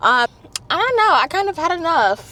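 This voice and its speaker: Against noticeable background noise, a woman speaks with an American accent. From northern New Jersey. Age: 20s. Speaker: lifestyle vlogger. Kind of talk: casual vlog talk to camera. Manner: casual, halting with many fillers.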